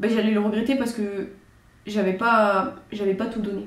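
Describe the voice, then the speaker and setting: Audible room echo surrounds a woman's somewhat breathy, fairly high voice as she speaks at a fairly slow pace. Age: 20s. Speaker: judo athlete and channel host. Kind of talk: casual chat.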